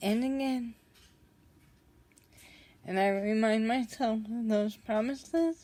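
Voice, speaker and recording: A woman speaks at a very slow pace, with long, frequent pauses. Her tone is dark and mellow. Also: fairly high pitch for a woman, ordinary pitch variation. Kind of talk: personal vlog talk to camera. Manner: slow, strained, breathy.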